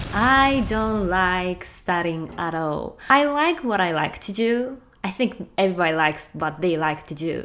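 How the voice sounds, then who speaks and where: In a Japanese accent, a woman speaks with lively intonation. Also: medium pitch for a woman, fairly slow pace, hardly any pauses. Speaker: language-learning vlogger. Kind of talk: casual talk to camera.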